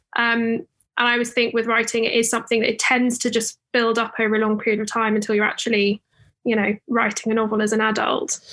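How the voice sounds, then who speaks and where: A woman with a British accent speaks at a very fast pace in a fairly high pitch. Her tone is bright and sharp, her intonation monotone and flat, her loudness very even. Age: 20s. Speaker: author and lawyer. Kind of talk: interview.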